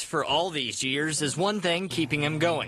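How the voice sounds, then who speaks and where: Noticeable background noise sits behind the speaker. The delivery moves at a moderate pace with ordinary pitch variation. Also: man. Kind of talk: local TV news feature narration.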